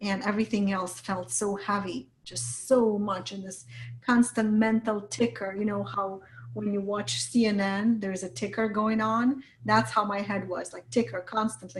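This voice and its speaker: A woman with a medium pitch speaks at a moderate pace in a somewhat breathy voice. Her intonation is lively, and her loudness swings widely. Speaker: business coach. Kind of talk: interview.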